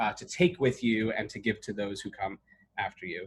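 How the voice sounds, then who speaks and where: The pace is very fast. An American accent comes through. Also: man. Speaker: emergency medicine chief resident. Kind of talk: webinar presentation. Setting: video call. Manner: loud; animated.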